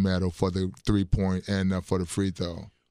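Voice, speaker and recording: A man with an American accent speaks at a moderate pace in a very deep, low pitch. His intonation is monotone and flat, with a quiet background. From Chicago, Illinois. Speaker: basketball coach and senior athlete. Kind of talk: casual interview and faith testimony. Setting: radio studio.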